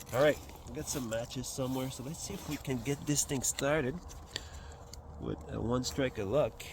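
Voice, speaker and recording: A man with a Quebec accent talks with long, frequent pauses and ordinary pitch variation. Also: medium pitch for a man, moderate pace. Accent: French Canadian accent in English. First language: French. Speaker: outdoors and bushcraft vlogger. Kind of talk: outdoor tutorial. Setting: outdoors by a fire pit. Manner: casual, with many fillers.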